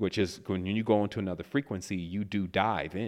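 This man has an unremarkable speaking voice with a fairly low pitch and fairly even intonation. The background is quiet. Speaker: spiritual teacher. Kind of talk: lecture with caller Q&A.

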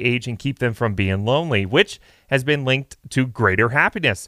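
Upbeat and bright with a sharp edge, a man at medium pitch talks at a fairly quick pace with lively intonation on a very clean recording with a silent background. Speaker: radio host. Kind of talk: morning radio show patter. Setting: studio. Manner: upbeat, chatty, bright morning-DJ energy.

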